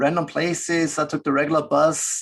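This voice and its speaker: A man with an Austrian accent at a moderate pace, over a quiet background. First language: German. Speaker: business ethics professor. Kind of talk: webinar interview.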